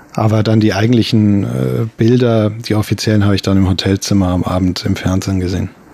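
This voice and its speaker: At a fairly quick pace with hardly any pauses, a man with a fairly low voice keeps very even loudness and ordinary pitch variation over noticeable background noise. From Bavaria, Germany (Regensburg). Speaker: sinologist. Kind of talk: interview. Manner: halting.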